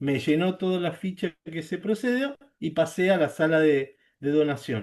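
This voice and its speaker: This man's pitch moves in an ordinary way as he talks fairly slowly. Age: 60s. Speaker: service club member and blood donor. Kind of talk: testimony at online training. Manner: halting, with fillers.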